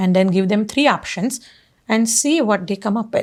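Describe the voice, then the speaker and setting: A woman speaks somewhat breathily at a fairly high pitch with ordinary pitch variation. Her pace is fairly quick on a very clean recording with a silent background. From India, Pune, Maharashtra. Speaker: real estate agent and mountaineer. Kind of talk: interview conversation.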